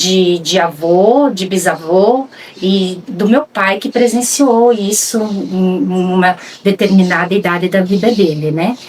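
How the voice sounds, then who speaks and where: Noticeable background noise sits behind a woman's voice. She has a medium pitch and ordinary pitch variation. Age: 60s. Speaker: rural land guardian. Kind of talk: documentary interview testimony. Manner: halting, with frequent fillers.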